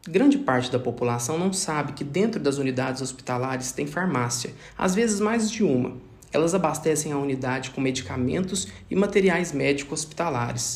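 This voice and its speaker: The voice is somewhat breathy with lively intonation, and room echo can be heard. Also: man. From Brazil, Minas Gerais (Triângulo Mineiro). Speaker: pharmacist. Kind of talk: scripted narration. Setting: home recording.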